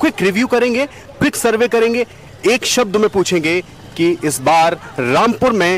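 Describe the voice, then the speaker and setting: A man speaks at a fairly slow pace with lively intonation. The sound is dry with no echo, and there is light background noise. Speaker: news reporter. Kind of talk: news piece to camera. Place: street. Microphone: handheld.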